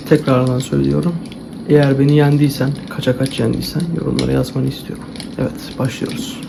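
A soft-spoken man talks. Noticeable background noise is present. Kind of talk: ASMR role-play game talking to the viewer. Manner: soft-spoken, calm.

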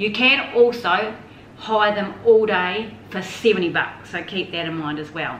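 A woman at a very slow pace, with audible room echo and light background noise. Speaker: traveller reviewing her holiday. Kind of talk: casual vlog chat. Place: home room. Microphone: camera far.

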